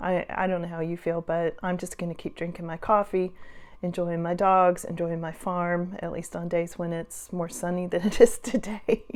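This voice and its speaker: A woman has a normal speaking voice, pitched fairly low. She keeps a moderate pace. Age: 60s. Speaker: farm owner and senior-life vlogger. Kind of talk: casual talk to camera. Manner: chatty, humorous, sarcastic.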